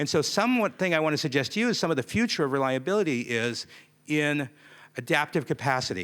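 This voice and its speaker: A man with a fairly high pitch talks at a fairly quick pace, his pitch swinging very widely. The recording is very clean, with a silent background. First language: not Japanese, speaks English. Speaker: conference keynote speaker. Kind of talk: keynote talk.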